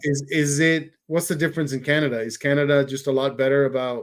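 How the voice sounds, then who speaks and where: This man's voice sits fairly high in pitch. His delivery is monotone and flat, at a moderate pace. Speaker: podcast host. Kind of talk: casual podcast conversation.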